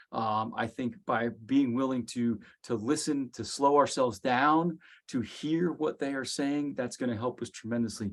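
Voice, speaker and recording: This is a man with an ordinary speaking voice at medium pitch. He keeps a moderate pace with ordinary pitch variation against a quiet background. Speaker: executive director of a professional association. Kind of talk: interview.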